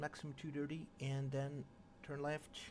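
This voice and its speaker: The man speaking has a fairly high pitch. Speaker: flight sim livestreamer. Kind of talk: livestream commentary while flight planning. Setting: live stream with chat. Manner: loud; halting, many fillers.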